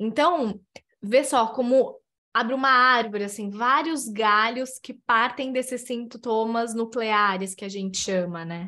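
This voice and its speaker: Speaking at a fairly slow pace, a woman uses an animated tone with a fairly high pitch and a bright, sharp sound. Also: ordinary pitch variation, big swings in loudness. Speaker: psychologist. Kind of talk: casual interview chat.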